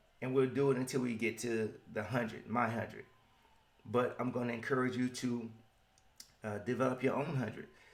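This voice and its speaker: A man with a Southern US accent talks at a fairly quick pace at medium pitch, his intonation fairly even and broken by long, frequent pauses. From US South. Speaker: motivational podcaster. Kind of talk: motivational podcast monologue.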